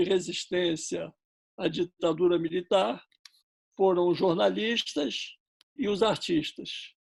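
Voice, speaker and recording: A man's high-pitched voice at a very slow pace. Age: 70s. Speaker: filmmaker. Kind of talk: public talk.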